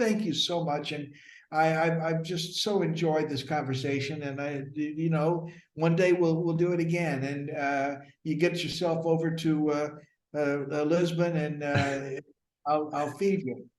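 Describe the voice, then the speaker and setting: Amid audible room echo, a man speaks at a fairly slow pace in a fairly high pitch with fairly even intonation. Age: 70s. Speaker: acting teacher. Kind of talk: casual interview. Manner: halting, many fillers.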